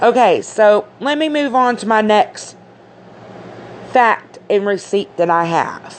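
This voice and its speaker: A woman with fairly high pitch and lively intonation speaks at a very slow pace with long, frequent pauses. Noticeable background noise runs throughout. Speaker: conspiracy commentator. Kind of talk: casual monologue. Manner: halting.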